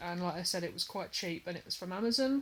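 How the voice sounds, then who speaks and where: With an English accent, a woman rattles along at a very fast pace. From England. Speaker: hobby vlogger, cross stitcher. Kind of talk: casual vlog talk to camera. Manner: hesitant, many fillers.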